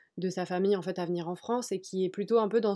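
Very fast and dark, mellow in tone, a woman speaks at medium pitch with fairly even intonation on a very clean recording with a silent background. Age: 20s. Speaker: journalist and book YouTuber. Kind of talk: casual chat.

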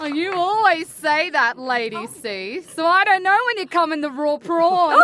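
Over noticeable background noise, a woman raises and projects her extremely high-pitched voice. She goes at a fairly slow pace with very wide pitch swings. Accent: Australian. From Australia. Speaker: opera singer. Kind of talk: common, unrefined, slangy.

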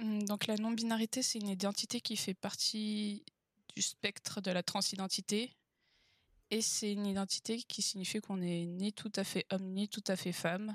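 In a very clean recording with a silent background and a dry, close sound with no echo, a woman speaks at a moderate pace with a medium pitch and monotone, flat intonation. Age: 20s. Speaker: author and engineer. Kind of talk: interview conversation.

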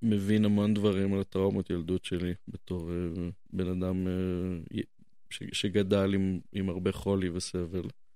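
A man speaks at a fairly slow pace in a fairly low pitch, his intonation flat and monotone. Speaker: podcast host. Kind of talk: casual chat.

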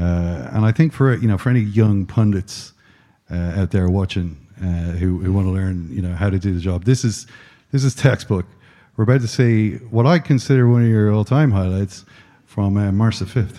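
In an Irish accent, a man speaks at a moderate pace with a fairly low pitch, a dark, mellow tone and ordinary pitch variation. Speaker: podcast host. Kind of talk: live interview on stage. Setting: stage with audience.

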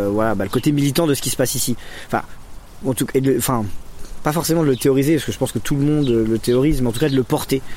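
A man's voice with ordinary pitch variation and long, frequent pauses amid noticeable background noise. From Lyon area, France. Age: 30s. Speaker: community educator and activist. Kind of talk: interview. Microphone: poor recording quality.

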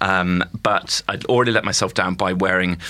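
A man with an RP accent amid noticeable background noise. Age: 20s. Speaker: comedian. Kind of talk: casual chat. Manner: halting.

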